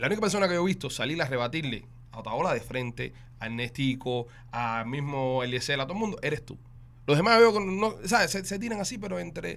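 Very wide pitch swings mark a man's very fast speech. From Cuba. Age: 30s. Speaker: podcast host. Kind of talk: casual chat.

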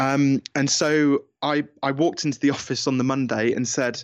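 A man at medium pitch with a British accent, dry and close sound with no echo, and a quiet background. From England. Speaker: business coach and author. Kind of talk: interview, conversational.

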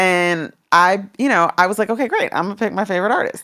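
A woman with a plain, everyday voice talks at a moderate pace and medium pitch on a very clean recording with a silent background. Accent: American. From Washington DC. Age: 50s. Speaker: former music executive. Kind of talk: interview.

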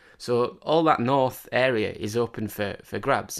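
A man with a Cumbrian accent, ordinary pitch variation, and a quiet background. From northern England, Cumbria. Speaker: football fan pundit. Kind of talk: casual chat. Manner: halting.

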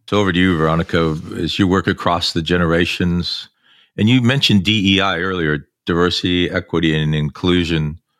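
With a very deep, low pitch, a man speaks at a fairly quick pace and fairly even intonation. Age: 60s. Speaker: podcast host. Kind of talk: interview. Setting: video call.

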